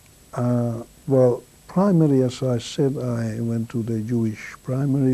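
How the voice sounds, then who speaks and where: A man with a Hungarian accent, dark and mellow in tone, at a very slow pace. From Hungary, Kaposvár. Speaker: Holocaust survivor. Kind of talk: testimony. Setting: filmed interview.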